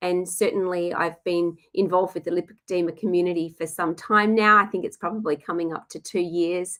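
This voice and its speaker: In an Australian accent, a woman talks at a moderate pace and a medium pitch with fairly even intonation. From Western Australia, Perth. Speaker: nutritionist. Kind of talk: webinar presentation. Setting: online webinar. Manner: hesitant, many fillers.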